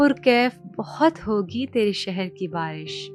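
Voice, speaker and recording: A woman talks with lively intonation over music in the background. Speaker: voice artist. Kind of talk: poetry reading.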